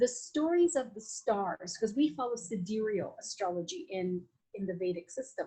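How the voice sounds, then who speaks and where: A woman with a fairly high pitch, lively intonation, a dark, mellow tone and a somewhat breathy sound. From Latin America. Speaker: Vedic astrologer and Ayurvedic practitioner. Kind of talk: podcast interview. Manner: animated; halting with many fillers.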